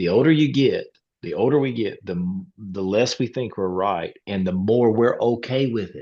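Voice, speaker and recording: This voice has a strong Southern US accent. It moves at a moderate pace. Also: man, medium pitch for a man, ordinary pitch variation. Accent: strong rural Southern US. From Eastern North Carolina. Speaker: pastor. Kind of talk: casual conversation. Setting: video call.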